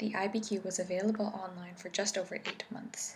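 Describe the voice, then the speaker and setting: Soft-spoken and soothing in tone, the voice moves at a moderate pace. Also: woman. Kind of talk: ASMR academic reading for sleep. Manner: soft-spoken, soothing.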